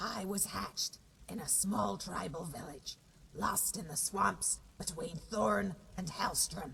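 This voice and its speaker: A put-on character voice at a middle pitch, with very wide pitch swings and a fairly slow pace. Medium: machinima. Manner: dry, wry humor.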